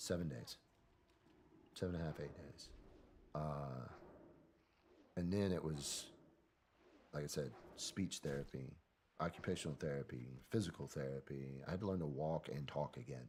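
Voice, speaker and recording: A man with a Southern US accent speaks at a moderate pace with long, frequent pauses. His very deep, low voice shows ordinary pitch variation. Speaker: military veteran. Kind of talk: interview. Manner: casual, conversational.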